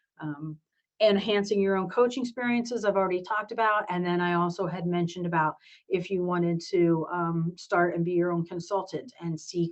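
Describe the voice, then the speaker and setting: The speaker has a plain, everyday voice. The intonation stays fairly even. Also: woman. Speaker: program director / professor. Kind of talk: virtual information session presentation.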